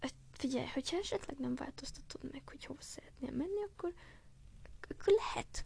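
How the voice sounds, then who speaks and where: Whispering at a fairly quick pace, a woman speaks with long, frequent pauses and big swings in loudness. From Hungary (Gyöngyös, earlier Nyíregyháza). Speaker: podcaster. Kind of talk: casual monologue addressed to a friend. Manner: animated; halting.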